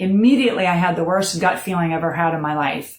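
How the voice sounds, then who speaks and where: Somewhat breathy, a woman with an American accent speaks at a fairly quick pace. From Florida. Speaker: bereaved mother sharing her story. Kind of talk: personal testimony. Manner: unrehearsed, with many fillers.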